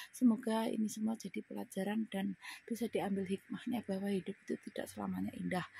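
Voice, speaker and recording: This woman talks at a very fast pace in a dry, close recording with no echo. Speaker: migrant domestic worker vlogger. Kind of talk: personal testimony vlog. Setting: indoors, in her room. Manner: casual, conversational.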